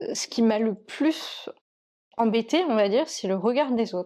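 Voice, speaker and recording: This woman's voice has a dark, mellow tone and a fairly high pitch. She speaks at a fairly slow pace. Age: 30s. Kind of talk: interview testimony. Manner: hesitant, many fillers.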